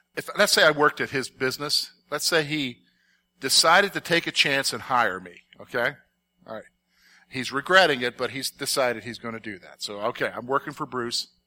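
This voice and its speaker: In a very clean recording with a silent background, a man with a fairly high, bright, sharp voice uses lively intonation and big swings in loudness. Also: fairly quick pace. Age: 50s. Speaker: Bible teacher. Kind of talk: Bible study lesson. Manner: conversational, frequent check-ins.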